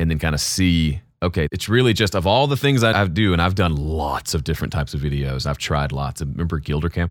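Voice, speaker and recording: A man with an American accent, very deep, low pitch, lively intonation and a very fast pace with hardly any pauses. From US South, Mississippi. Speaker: YouTube audio creator and mix engineer. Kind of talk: interview conversation.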